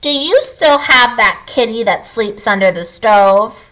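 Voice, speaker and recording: In a put-on character voice, a woman speaks at a fairly slow pace with a shrill, fairly high pitch. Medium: read story.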